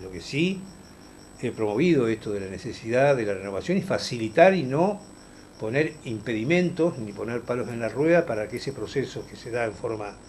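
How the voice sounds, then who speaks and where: Lively intonation marks this man's somewhat breathy voice. He talks at a fairly quick pace with big swings in loudness. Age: 60s. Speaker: politician. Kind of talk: interview. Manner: hesitant, many fillers.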